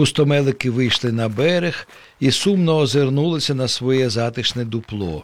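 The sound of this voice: The words come in an unforced reading voice, and the pitch varies in an ordinary way.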